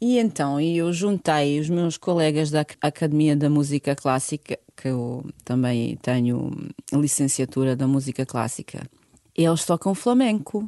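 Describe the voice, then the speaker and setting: A woman with a Bosnian accent, a very deep, low pitch and a dark, mellow tone, at a fairly slow pace with lively intonation. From Bosnia and Herzegovina, Sarajevo. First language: Bosnian (speaking Portuguese). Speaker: fado singer. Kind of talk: interview.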